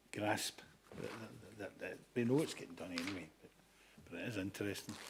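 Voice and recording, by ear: At a fairly quick pace, a man with a fairly low pitch speaks with a husky, rough edge.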